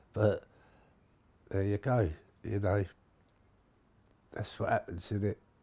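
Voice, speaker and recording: A fairly low-pitched man, somewhat breathy and fairly slow, with fairly even intonation and long, frequent pauses. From London, Somers Town. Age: 70s. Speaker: longtime local resident. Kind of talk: interview testimony. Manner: halting, with hesitations.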